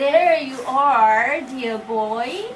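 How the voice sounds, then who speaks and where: A woman puts on a shaky character voice pitched high. Clear background noise runs behind her. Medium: read story. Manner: slow, affectionate.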